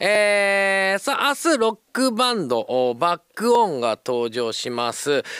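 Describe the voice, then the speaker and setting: A man with a Kansai accent talks at a very slow pace in a high, bright, sharp voice with very wide pitch swings. The sound is dry with no echo, and the background is quiet. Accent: Kansai Japanese. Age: 40s. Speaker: radio host. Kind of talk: live radio talk. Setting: radio studio. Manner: animated. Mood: cheerful, joking. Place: booth. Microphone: studio mic.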